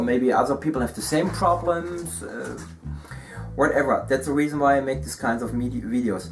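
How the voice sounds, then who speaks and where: Noticeable background noise sits under a man with a German accent whose medium-pitched voice has lively intonation. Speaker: miniature painting YouTuber. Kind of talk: hobby tutorial and review. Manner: halting, many fillers.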